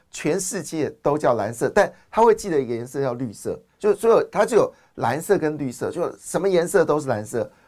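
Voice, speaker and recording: In a very clean recording with a silent background, a high-pitched man speaks at a moderate pace in an animated tone, his pitch swinging very widely. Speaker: finance podcast host. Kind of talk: market commentary monologue. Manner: animated, many fillers.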